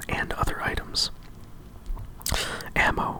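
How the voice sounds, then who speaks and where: Someone whispers at a fairly slow pace. Noticeable background noise runs underneath. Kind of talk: ASMR whisper reading of a game instruction manual. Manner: whispered, calming.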